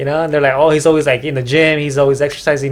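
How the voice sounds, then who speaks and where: A man with an American accent talks at a very fast pace and a fairly high pitch, his intonation fairly even, with noticeable background noise behind him. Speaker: podcast host. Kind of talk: casual chat. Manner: halting.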